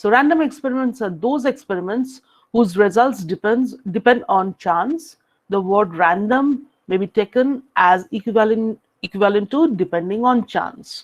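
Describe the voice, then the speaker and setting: With an unremarkable speaking voice, a woman talks at a moderate pace, her fairly high pitch carried by lively intonation. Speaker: university lecturer. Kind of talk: lecture.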